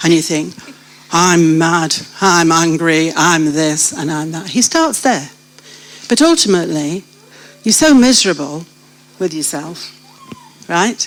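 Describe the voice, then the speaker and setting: In a British accent, a woman speaks at a fairly low pitch and a fairly slow pace, with ordinary pitch variation, long, frequent pauses and noticeable background noise. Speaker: church member sharing life story. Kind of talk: testimony. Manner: animated.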